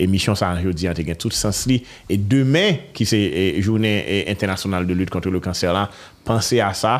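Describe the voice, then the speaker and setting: On a very clean recording with a silent background, a man with a normal speaking voice talks at a fairly slow pace with lively intonation. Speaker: talk show host. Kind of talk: interview. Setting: studio.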